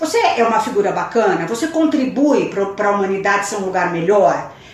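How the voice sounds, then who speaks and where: Amid noticeable background noise and audible room echo, a woman speaks at a moderate pace with very wide pitch swings. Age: 50s. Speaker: educator and fashion designer. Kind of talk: casual chat.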